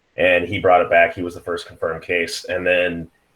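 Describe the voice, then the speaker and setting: A man speaks with a Pacific Northwest accent. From Seattle area, US. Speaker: IT worker. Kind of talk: casual chat.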